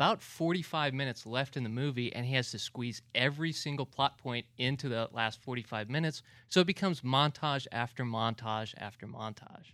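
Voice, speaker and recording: Spoken at a moderate pace with ordinary pitch variation, this bright, sharp voice sits on a very clean recording with a silent background. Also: man. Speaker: film blogger. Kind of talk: casual film discussion.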